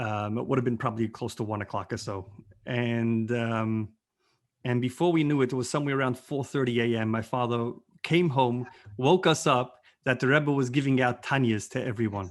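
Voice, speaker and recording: A man talks at a fairly quick pace and medium pitch with ordinary pitch variation, in a plain, everyday voice. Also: quiet background. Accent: American. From New York, Brooklyn (Borough Park). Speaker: rabbi. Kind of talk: interview storytelling. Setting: video call.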